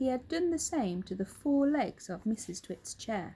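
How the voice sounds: A woman speaks at a moderate pace with lively intonation and a dark, mellow tone.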